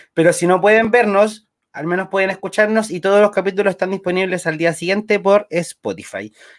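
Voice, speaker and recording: A man talks at a fairly quick pace with hardly any pauses, his high voice flat and monotone. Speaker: podcast co-host. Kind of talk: casual chat. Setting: live-streamed show recorded together.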